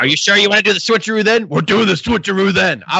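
A put-on character voice from a man, gravelly and high-pitched, at a very fast pace with ordinary pitch variation over light background noise

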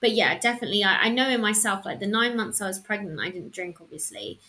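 A woman talks at a very fast pace in a southern English accent. Her tone is bright and sharp. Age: 30s. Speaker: freelance journalist. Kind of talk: casual interview chat.

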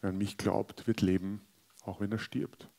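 In a very clean recording with a silent background and a dry, close sound with no echo, a man speaks at a moderate pace. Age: 40s. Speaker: pastor. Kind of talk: sermon.

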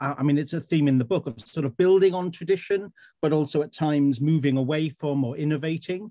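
A man speaks at a moderate pace in a South Wales accent. His tone is dark and mellow, his pitch fairly high. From Wales, Swansea. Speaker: writer. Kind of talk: panel discussion.

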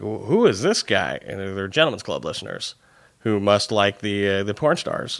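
A man talks at a fairly quick pace. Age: 30s. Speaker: podcast host and TV writer. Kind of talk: casual interview chat.

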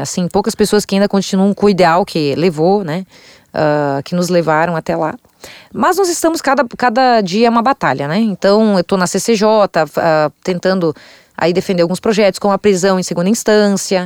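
Here is a woman with an ordinary speaking voice at medium pitch, talking at a moderate pace with lively intonation. The sound is dry and close, with no echo. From Santa Catarina interior, Brazil. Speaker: state legislator. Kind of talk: interview.

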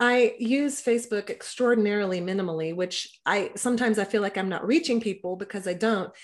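A woman's plain, everyday voice, fairly high in pitch, at a fairly quick pace with an American accent over a quiet background. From Texas. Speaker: podcaster and libertarian activist. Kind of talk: casual interview.

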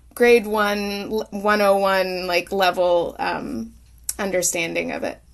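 With an Oklahoma accent, a woman of medium pitch speaks at a very slow pace. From Oklahoma, US. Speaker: singer-songwriter. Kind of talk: interview. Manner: halting, many fillers.

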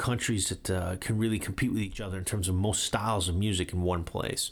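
A man speaks at a very fast pace. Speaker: radio podcast host and music writer. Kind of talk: solo radio show presenting music. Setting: studio.

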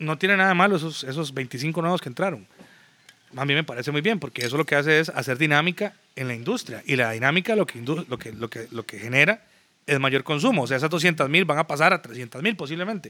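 A man's fairly high voice, bright and sharp in tone, with lively intonation and a fairly quick pace. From Costa Rica, San José (Zapote area). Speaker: music promoter and businessman. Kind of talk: casual chat.

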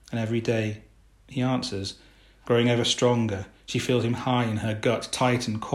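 What you hear is an unforced reading voice.

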